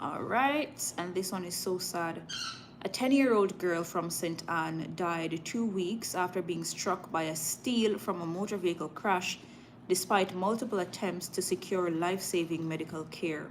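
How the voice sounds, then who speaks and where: In a Jamaican accent, a woman speaks fairly slowly at a medium pitch with ordinary pitch variation. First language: Jamaican patois. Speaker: live news streamer. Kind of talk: live stream news reading with chat; casual chat. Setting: live stream.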